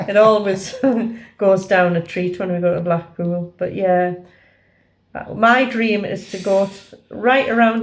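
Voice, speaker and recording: With an unremarkable speaking voice, a woman at a medium pitch talks at a fairly slow pace using fairly even intonation. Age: 60s. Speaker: travel vlogger. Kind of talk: casual chat; vlog narration. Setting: at home; train station.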